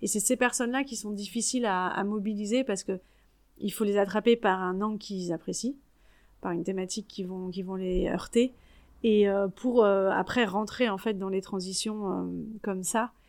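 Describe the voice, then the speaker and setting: A woman speaks in a normal speaking voice at a moderate pace, at a medium pitch with fairly even intonation. The recording is very clean, with a silent background. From Paris region, France (Yvelines). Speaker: network coordinator, former primary school teacher. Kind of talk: casual interview.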